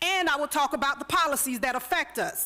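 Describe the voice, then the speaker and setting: A woman with an American accent uses a raised, projected voice, high in pitch with a bright, sharp tone. She keeps a moderate pace and ordinary pitch variation. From US South, Florida. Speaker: public commenter at city meeting. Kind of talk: prepared public comment speech. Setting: city commission meeting chamber. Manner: impassioned, oratorical.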